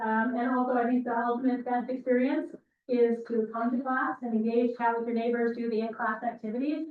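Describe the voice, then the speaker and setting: Her pitch is high and her intonation monotone and flat. The woman speaks at a fairly quick pace. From Alberta, Canada. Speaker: university instructor. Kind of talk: lecture. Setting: classroom, recorded with Zoom. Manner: fast.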